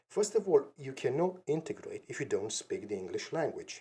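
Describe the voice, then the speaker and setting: This speaker is a man with a non-native accent. He talks at a moderate pace. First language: not English. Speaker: podcast host. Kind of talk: solo opinion monologue. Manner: halting with fillers.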